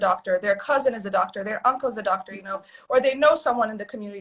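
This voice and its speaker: A woman speaks at a very fast pace in a fairly high pitch, her voice somewhat breathy. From Addis Ababa, Ethiopia. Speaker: physician. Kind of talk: casual chat. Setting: live video stream.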